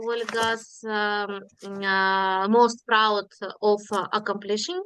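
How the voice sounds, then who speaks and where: Against a quiet background, a woman with a non-native accent speaks in a fairly high pitch with fairly even intonation. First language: not English. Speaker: workshop participant. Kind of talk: group discussion report. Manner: halting, many fillers.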